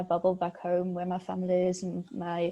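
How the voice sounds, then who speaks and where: A woman speaks with a German accent at a moderate pace and a medium pitch. Her tone is dark and mellow, and the background is quiet. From Switzerland. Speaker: PhD student. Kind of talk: interview. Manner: hesitant, many fillers.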